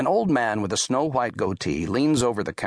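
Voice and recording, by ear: The passage is read aloud in a natural voice, its intonation lively.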